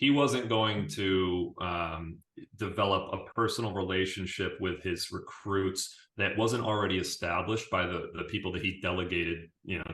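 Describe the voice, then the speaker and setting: A man with an American accent has an unremarkable speaking voice. His pitch is fairly low and his pace moderate. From Syracuse, New York, US. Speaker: business CEO, former basketball team manager. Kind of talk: interview conversation.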